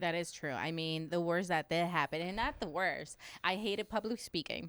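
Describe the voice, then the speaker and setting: A woman with a slight Spanish accent and ordinary pitch variation, in a very clean recording with a silent background. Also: fairly low pitch for a woman, moderate pace. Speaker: podcast host, real estate agent. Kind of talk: casual interview.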